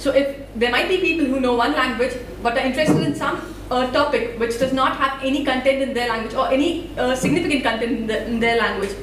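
Talking at a very fast pace with an Indian accent, a woman has a high pitch and ordinary pitch variation, with light background noise and audible room echo. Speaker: student developer and open source volunteer. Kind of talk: conference talk. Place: hall.

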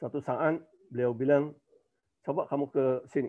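Fairly even intonation carries talk that moves at a moderate rate. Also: man. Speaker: professor. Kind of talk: webinar talk.

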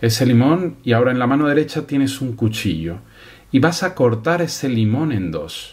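A calm, soothing male voice, somewhat breathy, with lively intonation and a quiet background. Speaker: hypnotist. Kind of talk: guided hypnosis induction. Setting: studio, binaural 3D audio for headphones. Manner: slow, calm, soothing; slow, measured, hushed pacing with pauses. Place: home room.

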